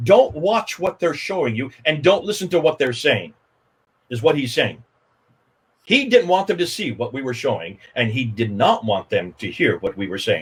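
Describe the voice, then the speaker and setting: An animated voice with an American accent and vocal fry moves at a moderate pace. Its pitch swings very widely. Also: man, fairly high pitch for a man. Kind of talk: livestream interview.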